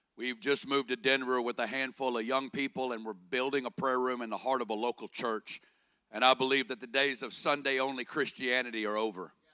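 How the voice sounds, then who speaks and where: With an Arkansas accent, a man speaks at a medium pitch and a fairly quick pace, his bright, sharp tone and fairly even intonation captured in a very clean, dry, close recording with no echo and a silent background. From Northwest Arkansas. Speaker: guest preacher. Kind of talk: sermon. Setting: church stage with congregation.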